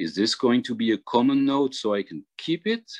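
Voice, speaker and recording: A man with a French accent speaks at a fairly slow pace. The sound is dry and close with no echo, against a quiet background. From Réunion island. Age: 50s. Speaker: jazz harmonica player. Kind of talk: workshop tutorial. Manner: halting.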